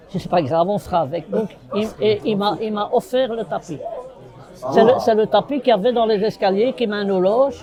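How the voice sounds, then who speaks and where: A man speaks at a fairly quick pace in a high pitch. Crowd noise can be heard in the background. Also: ordinary pitch variation. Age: 60s. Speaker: bar owner and football supporter. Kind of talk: casual chat.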